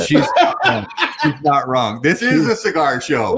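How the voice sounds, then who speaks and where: A fairly slow delivery at very even loudness, over noticeable background noise. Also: man. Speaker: cigar show co-host.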